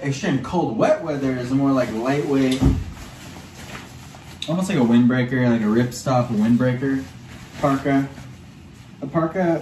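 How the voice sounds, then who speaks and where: The speech moves at a moderate pace with ordinary pitch variation over noticeable background noise. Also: man. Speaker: online reseller. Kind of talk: casual vlog chat. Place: home room. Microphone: phone near.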